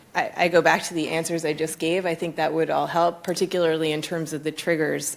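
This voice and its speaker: A woman with an American accent talks at a very fast pace. Her pitch is very deep and low, with vocal fry. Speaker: economist, panel speaker. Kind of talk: conference panel discussion.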